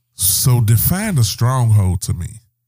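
Somewhat breathy, a man speaks with a dark, mellow tone. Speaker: podcast host. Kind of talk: casual chat.

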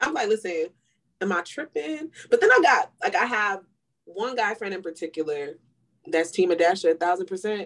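A woman's medium-pitched voice at a moderate pace, an ordinary speaking voice. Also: lively intonation. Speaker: podcast co-host. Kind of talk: casual chat.

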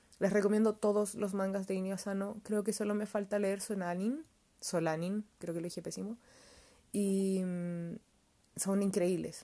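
A woman speaks with a Chilean accent and fairly even intonation. Her tone is dark and mellow. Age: 20s. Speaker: podcast host reviewing manga. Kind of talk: casual solo review monologue.

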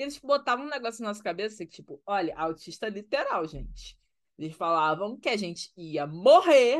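A woman talks at a moderate pace, her pitch swinging very widely, with quiet all around her. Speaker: podcast co-host. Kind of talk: casual chat.

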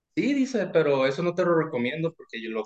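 A man speaks very fast at a fairly high pitch, his voice swinging very widely up and down. The sound is dry and close, with no echo. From Mexico, Sinaloa. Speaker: ship technician. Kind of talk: casual chat. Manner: less loud than before.

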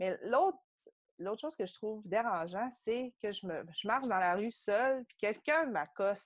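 A woman with a plain, everyday voice speaks at a fairly slow pace over a quiet background. Her fairly high pitch moves with lively intonation. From Quebec, Saguenay. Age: 30s. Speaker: podcast guest, yoga studio member. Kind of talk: casual interview, personal story.

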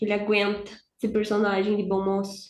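A medium-pitched woman with a Brazilian accent at a fairly quick pace. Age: 20s. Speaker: hockey podcaster. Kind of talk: casual chat.

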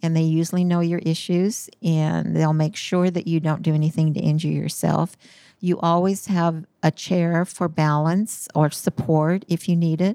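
In a very clean recording with a silent background, a woman speaks at a moderate pace in a fairly low, dark, mellow voice. Her intonation is monotone and flat, and her loudness stays very even. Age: 70s. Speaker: physical therapy patient. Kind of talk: casual interview.

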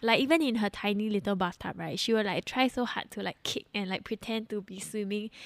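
Speaking in an ordinary speaking voice at a fairly quick pace with hardly any pauses, a woman of medium pitch is heard on a very clean recording with a silent background. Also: ordinary pitch variation, dry, close sound with no echo. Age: 20s. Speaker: host's wife. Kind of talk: casual chat. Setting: home.

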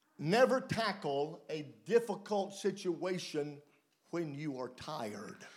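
With a Southern US accent, a man speaks at a very slow pace in a high voice with very wide pitch swings, and audible room echo surrounds him. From US South, mountain region. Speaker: preacher. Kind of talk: sermon with live interpretation.

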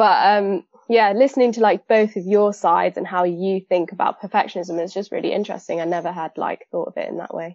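Speaking at a fairly quick pace with hardly any pauses, a woman with a normal speaking voice keeps her medium pitch in fairly even intonation. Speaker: fashion merchandiser and aspiring designer. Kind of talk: casual discussion.

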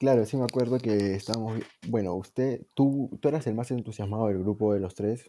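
In a Peruvian accent, the voice runs at a fairly quick pace with a dark, mellow tone. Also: man, medium pitch for a man. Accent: Peruvian Spanish (Lima). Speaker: podcast host. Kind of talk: casual chat.

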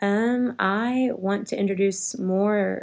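Her voice is an ordinary speaking voice, as a woman with an American accent talks at medium pitch with fairly even intonation. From Texas, Richardson. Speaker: first grade teacher. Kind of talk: interview.

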